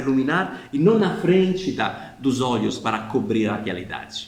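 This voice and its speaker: A man speaks at a fairly high pitch with very wide pitch swings. Audible room echo and noticeable background noise surround his voice. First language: not Portuguese (speaking Portuguese). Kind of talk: explanatory video talk. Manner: informal, with hesitations.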